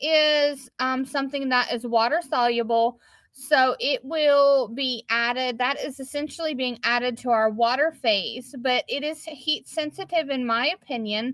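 A woman with a high voice and a bright, sharp tone speaks at a fairly slow pace with ordinary pitch variation, over a quiet background in a dry sound with no echo. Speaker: craft maker hosting a live. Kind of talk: tutorial. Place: shop. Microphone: phone near.

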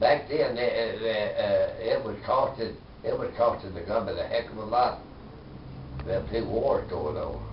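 Man with an Arkansas accent at a moderate pace, with long, frequent pauses, audible room echo and light background noise. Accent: Southern US (Arkansas). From US South. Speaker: war veteran. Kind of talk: oral history interview. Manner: halting. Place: home room. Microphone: camera far.

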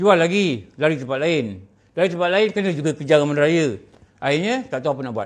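A man at a very fast pace, fairly high-pitched, with very wide pitch swings. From Malaysia. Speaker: religious teacher. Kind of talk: religious lecture. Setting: surau meeting room, streamed online. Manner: conversational, frequent fillers. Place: meeting room. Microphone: podium.

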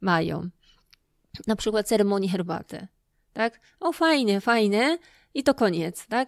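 A woman with a Japanese accent talks at a medium pitch and a fairly slow pace, using lively intonation and long, frequent pauses. The recording is very clean with a silent background, and the sound is dry and close with no echo. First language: Japanese (speaking Polish). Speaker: lecturer and festival organizer. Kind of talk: interview. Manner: halting.

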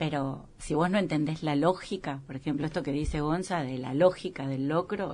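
A woman speaks with a very deep, low pitch and fairly even intonation. Her pace is moderate, with hardly any pauses. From Argentina. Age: 50s. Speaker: restaurant owner; interview guest. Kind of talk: casual interview. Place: studio.

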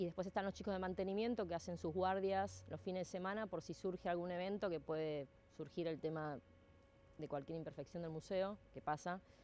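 A woman with a dark, mellow tone and fairly even intonation speaks at a fairly quick pace, the sound dry with no echo and light background noise. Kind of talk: interview answer. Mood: calm, reflective. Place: open country.

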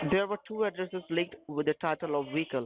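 This man has an Indian accent and talks at a fairly quick pace. The sound is dry and close with no echo. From Northeast India. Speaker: phone scammer. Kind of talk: scam phone call.

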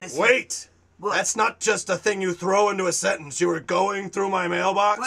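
A man's put-on character voice, high in pitch, at a moderate pace with hardly any pauses. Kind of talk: comic overacting. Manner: upbeat, then indignant and petulant.

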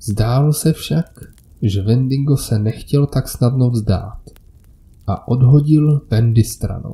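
A man speaks very slowly at a medium pitch with ordinary pitch variation. His tone is dark and mellow, and somewhat breathy. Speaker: horror story narrator. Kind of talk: scripted horror story narration (first-person creepypasta).

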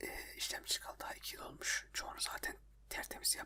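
A man whispers. There is noticeable noise in the background. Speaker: ASMR video creator. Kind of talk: whispered ASMR chat talking about his computer problems. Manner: whispered, soft.

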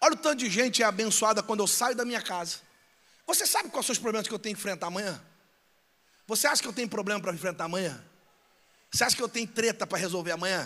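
A man talks very fast in a raised, projected voice, bright and sharp in tone and high in pitch, with ordinary pitch variation and long, frequent pauses. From Brazil, São Gonçalo (Rio de Janeiro); Rio de Janeiro, Brazil. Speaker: pastor. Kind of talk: sermon. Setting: church with live audience. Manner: loud; animated. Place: church. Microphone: handheld.

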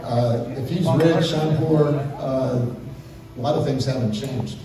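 A man speaks with a fairly high pitch. Strong room echo and noticeable background noise are present. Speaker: crankshaft company head. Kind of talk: conference talk, conversation. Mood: humorous, reminiscing. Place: hall. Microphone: pa.

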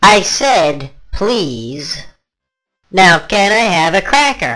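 A raspy, cartoonish character voice at a middle pitch, very slow, with very wide pitch swings. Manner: increasingly irritated, demanding.

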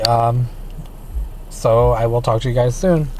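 A man at a moderate pace, with ordinary pitch variation and very even loudness, in a dry sound with no echo over light background noise. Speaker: driver vlogger. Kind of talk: casual vlog chat. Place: car. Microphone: phone near.

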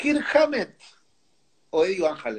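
With a Rioplatense accent, a man speaks in an animated tone with very wide pitch swings against a quiet background. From Argentina. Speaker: music show host. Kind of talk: casual interview. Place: home room. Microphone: earbuds.

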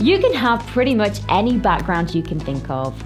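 With clear music in the background, a woman with a northern English accent speaks at a moderate pace in an upbeat tone. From Cumbria, northern England. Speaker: TV presenter. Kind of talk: web spokesperson promo read. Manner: upbeat, friendly. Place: studio.

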